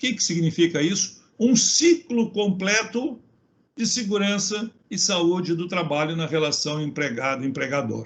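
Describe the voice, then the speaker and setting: Speaking at a fairly slow pace, a man uses a high voice with lively intonation. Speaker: safety engineer and consultant. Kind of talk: webinar talk.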